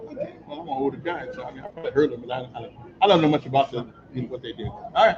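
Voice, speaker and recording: Over noticeable background noise, a man with a fairly high voice and an animated tone talks very fast, his loudness swinging widely. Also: ordinary pitch variation. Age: 60s. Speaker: livestream host. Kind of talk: casual on-location interview. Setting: on location at a wellness center. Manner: animated, repetitive.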